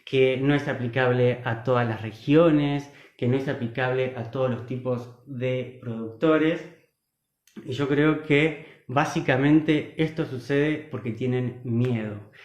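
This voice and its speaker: Very slow speech from a man at a medium pitch with fairly even intonation. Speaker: agroecology speaker. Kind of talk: online talk / livestream presentation. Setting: live online stream.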